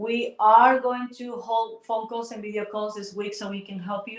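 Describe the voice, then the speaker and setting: A woman speaks at a moderate pace with a Spanish accent. Her fairly high voice keeps a fairly even intonation. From Ecuador. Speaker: water health promoter. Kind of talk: livestream chat.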